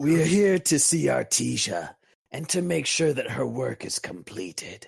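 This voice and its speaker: A man's raspy, fairly high-pitched, put-on character voice at a moderate pace. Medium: actual play. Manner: formal, stiff.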